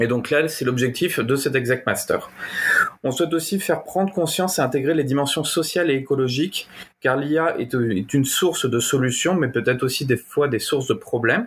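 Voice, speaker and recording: This man has a fairly high pitch and an unremarkable speaking voice. His loudness stays very even, and his pitch varies in an ordinary way. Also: moderate pace. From Normandy, France. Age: 30s. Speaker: AI engineer and entrepreneur. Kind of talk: interview.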